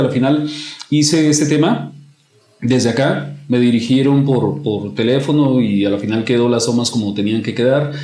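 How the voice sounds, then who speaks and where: The voice moves at a moderate pace with ordinary pitch variation, against noticeable background noise. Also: man. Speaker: commercial voice-over announcer. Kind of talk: podcast interview answer.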